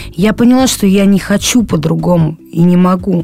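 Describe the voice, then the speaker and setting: Noticeable background noise sits behind a woman whose fairly low pitch moves with ordinary variation. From Saint Petersburg, Russia (moved from Krasnoyarsk at 13). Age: 20s. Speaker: recovering drug addict. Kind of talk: testimony. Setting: studio. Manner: halting, many fillers.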